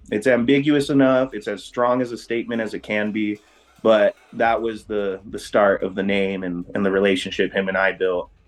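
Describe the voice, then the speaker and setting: A man with an ordinary speaking voice talks at a fairly slow pace, his fairly low pitch held in a fairly even intonation. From various US states, mainly San Diego. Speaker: rave crew co-founder. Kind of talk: interview.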